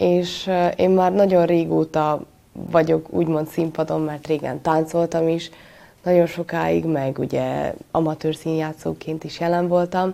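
Very slowly and in a monotone, flat intonation, a woman talks with a very deep, low pitch and a dark, mellow tone. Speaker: acting student. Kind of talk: interview.

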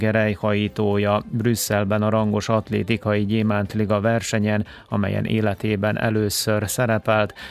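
A man with a fairly low pitch talks in an ordinary speaking voice at a moderate speed. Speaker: radio sports host. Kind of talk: news reading. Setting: studio.

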